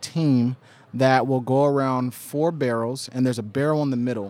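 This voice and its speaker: A man with an American accent speaks slowly, at a medium pitch with fairly even intonation. His tone is dark and mellow, in a dry, close sound with no echo. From Oklahoma. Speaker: documentary filmmaker. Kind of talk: interview.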